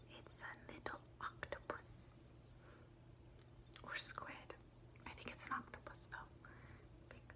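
A woman is whispering at a fairly slow pace in a relaxed tone. Her loudness swings widely. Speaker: ASMR creator. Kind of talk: ASMR tapping and tracing video, casual talk to camera. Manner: whispered, soft, relaxed. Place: home room. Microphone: phone near.

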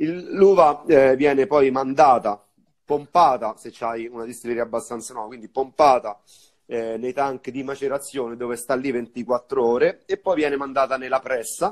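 A man talks at a moderate pace at a medium pitch, with ordinary pitch variation. His loudness swings widely, and the background is quiet. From Viterbo, central Italy; central Italy. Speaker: bar owner and bartender; guest. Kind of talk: casual live-stream interview. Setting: Instagram live video call. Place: home room.

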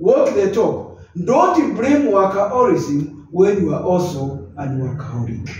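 Over music in the background and audible room echo, a man speaks at a fairly slow pace with very wide pitch swings. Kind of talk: advice talk to camera. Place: office. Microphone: camera far.

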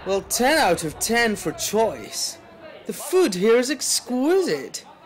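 A man speaking at a very slow pace, pitch swinging very widely, over noticeable background noise. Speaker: voice actor. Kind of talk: commercial read.

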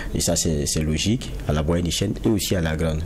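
Over light background noise, a man speaks in a very deep, low voice. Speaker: panel journalist. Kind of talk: interview. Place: studio. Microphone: lapel.

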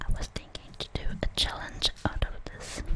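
Very slow whispered speech from a woman. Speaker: ASMR creator. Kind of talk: ASMR show and tell. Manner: softly whispered. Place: kitchen. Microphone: webcam.

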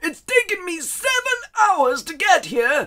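This is a put-on character voice at an extremely high pitch. It is raised and projected, at a fairly slow pace. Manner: whiny, indignant, foul-mouthed.

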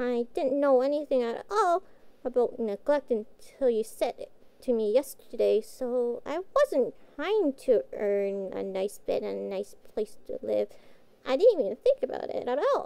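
A woman puts on a character voice, speaking in a high pitch at a moderate pace. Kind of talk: audio roleplay. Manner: cute, innocent.

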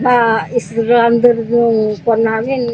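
Speaking fairly slowly, a woman keeps a fairly high pitch and fairly even intonation over noticeable background noise. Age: 60s. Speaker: flood-affected resident. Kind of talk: interview. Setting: flooded house.

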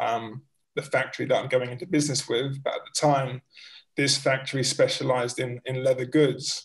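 A man with a London accent speaks at a medium pitch in a flat monotone, his voice somewhat breathy. The background is quiet. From North London, England. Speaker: vegan bag factory founder; guest. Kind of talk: casual interview. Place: home room. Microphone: video call.

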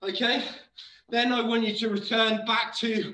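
A man speaks in a raised, projected voice with monotone, flat intonation. Room echo is audible. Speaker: fitness instructor. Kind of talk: live workout coaching. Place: gym. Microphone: camera far.

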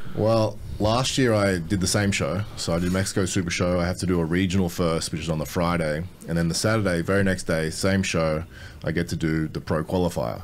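Very deep and low in pitch, a man with an Australian accent speaks at a fairly quick pace with very even loudness and ordinary pitch variation, light background noise underneath. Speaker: bodybuilder. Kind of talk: casual chat. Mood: relaxed, confident. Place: studio. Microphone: studio mic.

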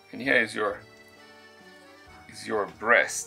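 A man speaks at a very slow pace, with faint music in the background. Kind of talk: tutorial. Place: kitchen.

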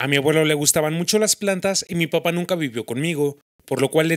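Man with a Mexican accent, fairly high pitch, ordinary pitch variation and a fairly quick pace, in a dry, close sound with no echo. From Mexico, Michoacán. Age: 20s. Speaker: YouTuber. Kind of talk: casual vlog monologue.

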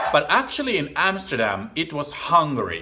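With clear music playing behind him, a man speaks at a fairly slow pace with a Finnish accent. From Finland. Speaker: TV commentator. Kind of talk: casual talk to camera. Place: home room. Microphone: phone near.

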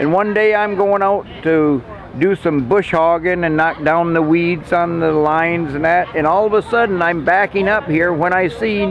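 Light background noise sits behind a man with a high voice. His loudness stays very even, and he hardly pauses. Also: ordinary pitch variation, moderate pace. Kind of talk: interview answer, storytelling. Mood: warm, nostalgic. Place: market.

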